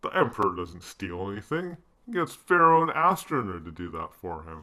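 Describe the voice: Spoken at a moderate pace, this is a cartoonish character voice. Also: man, fairly low pitch for a man.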